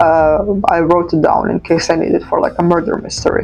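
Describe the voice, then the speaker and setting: A woman's fairly low, monotone, flat voice in a non-native accent, with music in the background. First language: not English. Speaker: journaling vlogger. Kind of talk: casual chat. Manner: hesitant, filler-heavy.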